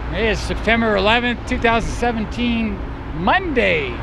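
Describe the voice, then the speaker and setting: A man's voice, dry with no echo, amid noticeable background noise. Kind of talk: on-location commentary. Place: street. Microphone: phone near.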